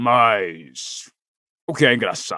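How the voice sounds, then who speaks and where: A growling, put-on character voice from a man at medium pitch. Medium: read story. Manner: gruff, blunt.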